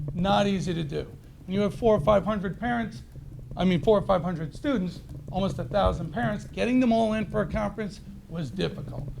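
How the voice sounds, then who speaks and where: Loud and fairly quick, a man speaks in a high pitch with lively intonation, with audible room echo and noticeable background noise. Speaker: teacher speaking at public comment. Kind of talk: public comment speech. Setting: school board meeting.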